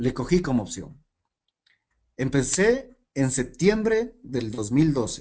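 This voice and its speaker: At a very slow pace with long, frequent pauses, a man's fairly high voice makes very wide pitch swings. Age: 30s. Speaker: network marketing team leader. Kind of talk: motivational training talk.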